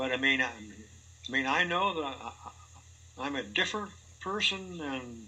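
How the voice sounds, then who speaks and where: With audible room echo, a man talks at a fairly slow pace in a bright, sharp tone, his pitch swinging very widely. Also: medium pitch for a man. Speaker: polio survivor interviewee. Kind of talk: personal interview. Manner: halting.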